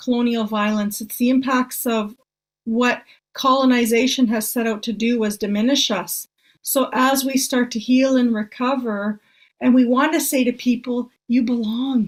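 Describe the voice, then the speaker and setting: A woman's high-pitched voice at a moderate pace, with fairly even intonation, on a very clean recording with a silent background. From northern Ontario, Canada. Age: 60s. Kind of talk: casual conversation.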